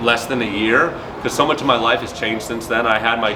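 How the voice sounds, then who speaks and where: Audible room echo surrounds this voice, and there is noticeable background noise. The speaker is a man. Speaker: MMA fighter. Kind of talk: interview.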